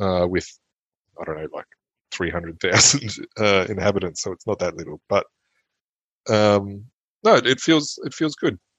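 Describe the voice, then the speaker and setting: A man's fairly low voice in an Australian accent, with lively intonation, big swings in loudness, a moderate pace and long, frequent pauses. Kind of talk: casual chat.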